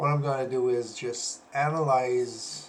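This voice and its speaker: A man with a Quebec accent speaks at medium pitch. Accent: French Canadian accent in English. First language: French. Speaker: wrestling analyst, former pro wrestler. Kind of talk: casual commentary video. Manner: halting, many fillers.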